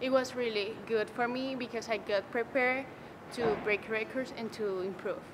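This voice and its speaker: A woman with a Spanish accent speaks at a moderate pace in a fairly high pitch, her intonation fairly even, with noticeable background noise behind her. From Venezuela. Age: young. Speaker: college sprinter. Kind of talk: interview. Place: hall.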